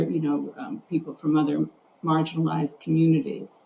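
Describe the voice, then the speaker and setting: Over noticeable background noise, a woman talks at a fairly quick clip. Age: 60s. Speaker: journalist and journalism instructor. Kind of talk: interview.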